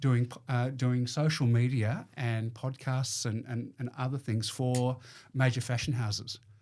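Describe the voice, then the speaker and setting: The speaker has an Australian accent and a monotone, flat intonation. The pace is fairly slow. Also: man, medium pitch for a man. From Melbourne, Australia. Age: 60s. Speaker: business owner. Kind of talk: casual chat. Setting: studio.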